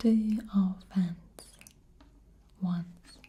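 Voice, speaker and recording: Soft-spoken, a woman talks at a medium pitch. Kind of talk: soft-spoken tarot card explanation, show and tell.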